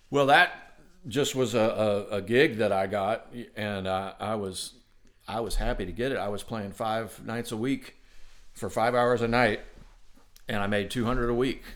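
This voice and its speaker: This man talks at a moderate pace with fairly even intonation. He leaves long, frequent pauses. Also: medium pitch for a man. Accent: American. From US Midwest, southwest Ohio. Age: 50s. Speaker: trumpet player. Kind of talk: interview conversation. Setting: studio.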